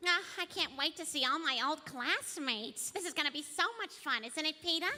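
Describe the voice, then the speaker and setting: A female-sounding, put-on character voice speaks at an extremely high pitch and a moderate pace. Light background noise sits behind it. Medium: stage.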